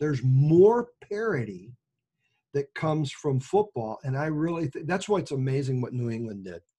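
A man with an American accent speaks with a fairly high pitch, a dark, mellow tone, very wide pitch swings and a somewhat breathy quality. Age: 60s. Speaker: pastor, podcast co-host. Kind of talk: casual chat between co-pastors, doctrine and football.

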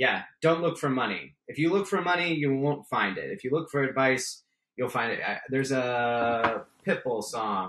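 An ordinary speaking voice from a man with an American accent, medium pitch, lively intonation and a moderate pace. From San Francisco Bay Area, California. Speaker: startup attorney and investor. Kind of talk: interview.

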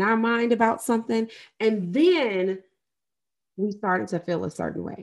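A woman's fairly high-pitched, plain, everyday voice with an American accent, lively intonation and a moderate pace, on a very clean recording with a silent background. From US Midwest (St. Louis, Missouri). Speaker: life and trauma coach, podcast host. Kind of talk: solo podcast monologue.

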